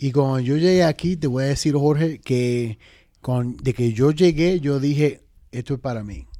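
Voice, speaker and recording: At a fairly slow pace, the speaker uses a dark, mellow tone with ordinary pitch variation. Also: man, fairly high pitch for a man. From Dominican Republic, raised in New York (Manhattan and the Bronx). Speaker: podcast co-host. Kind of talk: casual interview chat.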